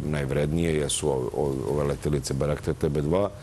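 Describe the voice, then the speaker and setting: Light background noise sits behind a man with a very deep, low pitch. He talks at a fairly quick pace with monotone, flat intonation. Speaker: guest. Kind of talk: interview answer. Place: studio. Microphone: lapel.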